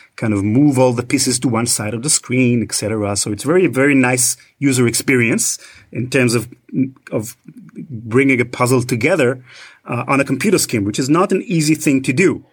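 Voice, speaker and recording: A man with an Israeli accent speaks at a medium pitch and a moderate pace with ordinary pitch variation, in a very clean recording with a silent background. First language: Hebrew. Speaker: podcast host, guest. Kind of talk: casual chat.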